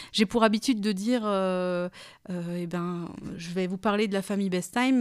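A woman's medium-pitched voice with fairly even intonation, on a very clean recording over a silent background. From France, Alsace (Kaysersberg). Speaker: wine cooperative communications manager. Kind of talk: interview. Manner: hesitant, with frequent fillers.

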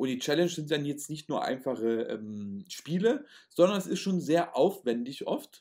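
In a very clean recording with a silent background, a man with an ordinary speaking voice talks at a fairly high pitch with lively intonation. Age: 30s. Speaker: podcast host, magician and youth camp founder. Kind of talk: casual chat. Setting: recorded at home.

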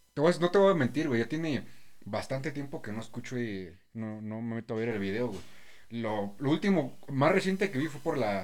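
Using very wide pitch swings around a medium pitch, a man speaks in a Mexican accent. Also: moderate pace. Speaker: podcast host. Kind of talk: casual chat.

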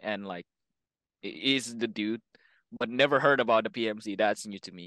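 Medium in pitch, a man talks at a fairly quick pace. His pitch varies in an ordinary way against a quiet background. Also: dry, close sound with no echo. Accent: Indonesian. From Indonesia. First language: Indonesian. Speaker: airsoft player. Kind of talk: casual chat. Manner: halting.

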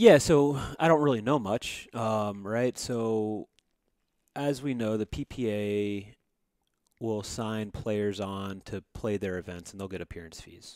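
In a very clean recording with a silent background, a man with an American accent speaks in a normal speaking voice, fairly low in pitch, with ordinary pitch variation and big swings in loudness. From US South, Georgia. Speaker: podcast co-host. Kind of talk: casual chat.

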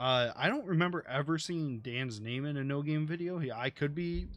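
A man with an ordinary speaking voice talks at a moderate pace against a quiet background. His pitch is fairly high and his intonation lively. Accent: American. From United States. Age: 20s. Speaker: podcast host, gamer. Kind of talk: casual chat. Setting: live stream from home.

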